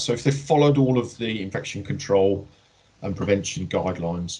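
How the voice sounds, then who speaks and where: A man with a slight Birmingham accent talks at a very fast pace in a fairly low, somewhat breathy voice with lively intonation. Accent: slight Brummie twang. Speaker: healthcare trust director. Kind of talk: workplace Q&A. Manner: hesitant, many fillers and repeats.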